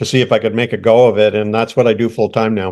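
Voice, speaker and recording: A man speaks at medium pitch in a Canadian accent. The recording is very clean, with a silent background. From Canada. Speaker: former pastor turned artist. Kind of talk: interview. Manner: halting, many fillers.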